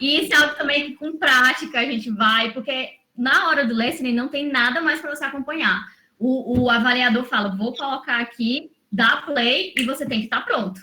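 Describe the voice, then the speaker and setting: A woman with a high pitch projects a raised voice. She keeps a moderate pace and ordinary pitch variation. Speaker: English teacher, former lawyer. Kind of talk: online mentoring session, teaching.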